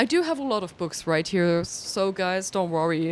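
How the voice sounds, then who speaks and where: A woman with a German accent, a fairly low pitch and a moderate pace. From Germany. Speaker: streamer. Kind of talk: casual gaming livestream commentary. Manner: animated.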